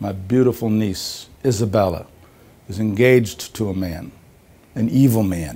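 In a dark, mellow tone, the voice moves at a fairly slow pace with ordinary pitch variation. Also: man. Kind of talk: acted dramatic monologue. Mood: solemn, pleading, mock serious. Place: office. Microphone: lapel.

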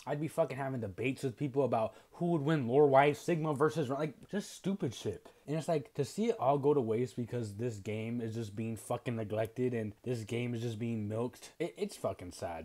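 A man talks in a dark, mellow tone with hardly any pauses. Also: lively intonation, fairly quick pace. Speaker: video creator. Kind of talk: casual slang. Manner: casual, profane, rambling. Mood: frustrated, ranting. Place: home room. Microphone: earbuds.

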